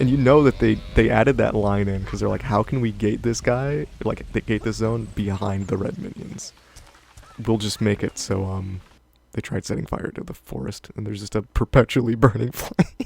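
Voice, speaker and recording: Noticeable background noise sits behind a man speaking at a fairly low pitch. He keeps a moderate pace with ordinary pitch variation. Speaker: gaming let's play streamer. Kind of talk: casual gameplay commentary.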